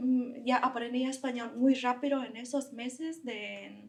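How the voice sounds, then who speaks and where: A woman with a Vietnamese accent speaks very slowly. Her high voice keeps fairly even intonation. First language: Vietnamese (speaking Spanish). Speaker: physics researcher. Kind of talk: interview storytelling.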